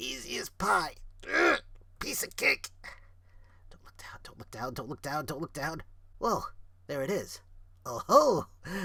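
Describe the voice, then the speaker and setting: Putting on a character voice, a man talks raspy and high-pitched at a fairly slow pace, with long, frequent pauses. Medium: read story.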